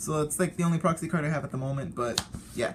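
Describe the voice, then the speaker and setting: A man talks very fast, and noticeable background noise can be heard. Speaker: card game youtuber. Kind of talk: casual deck showcase talk. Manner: talkative, rambling; halting with fillers and restarts.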